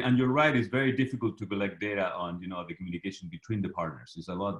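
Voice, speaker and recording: A man talks at a very fast pace in a fairly low voice. The background is quiet. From Chile. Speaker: professor, moderator. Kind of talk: moderated Q&A. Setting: video call. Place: home room. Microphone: video call.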